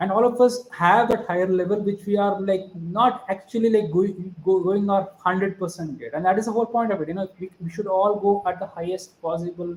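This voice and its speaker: Over noticeable background noise, a man with a high pitch speaks at a fairly quick pace with fairly even intonation. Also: hardly any pauses. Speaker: startup investor and business mentor. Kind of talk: podcast interview.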